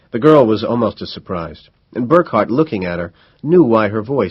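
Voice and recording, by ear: The background stays quiet. A natural voice reads aloud.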